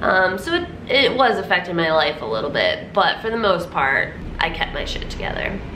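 Light background noise and audible room echo surround a woman speaking at a moderate pace. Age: 30s. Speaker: vlogger. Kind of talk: personal testimony to camera. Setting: talking to camera. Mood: reflective, personal story. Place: shop. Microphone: phone near.

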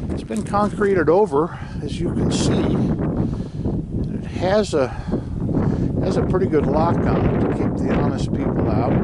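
Over loud background noise, a man speaks at a fairly slow pace in a dry sound with no echo. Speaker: travel vlogger. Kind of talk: casual vlog narration. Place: open country. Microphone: phone near.

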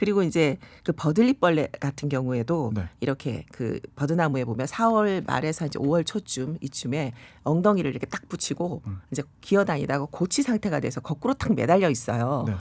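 The speaker has an animated tone and a fairly quick pace on a very clean recording with a silent background. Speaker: forest interpreter and author. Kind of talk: radio interview.

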